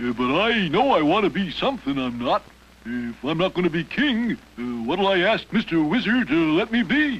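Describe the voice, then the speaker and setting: In a cartoonish character voice, a man speaks high for his sex at a moderate pace. His pitch swings very widely. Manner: pompous and blustery.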